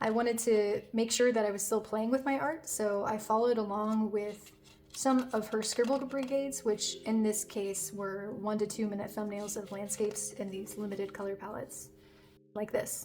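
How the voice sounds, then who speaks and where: A woman talks at a moderate pace with fairly even intonation and a fairly high pitch. Background noise is noticeable. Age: adult. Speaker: beginner artist, video creator. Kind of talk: narrated sketchbook tour.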